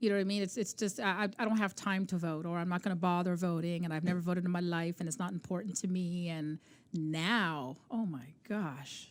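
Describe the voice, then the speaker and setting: This woman has an unremarkable speaking voice with a fairly low pitch and ordinary pitch variation. She talks at a fairly quick pace with hardly any pauses. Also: very clean recording, silent background. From Canada. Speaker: podcast co-host, basketball mom. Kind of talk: casual interview chat.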